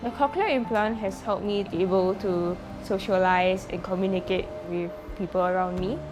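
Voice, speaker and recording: A woman speaks at a medium pitch with ordinary pitch variation. Music plays in the background, and the room echo is audible. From Singapore. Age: 20s. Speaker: deaf athlete. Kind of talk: testimonial interview.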